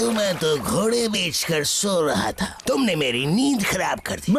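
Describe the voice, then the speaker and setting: A cartoonish character voice sits at a middle pitch. Background noise comes through clearly. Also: moderate pace. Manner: grumbling.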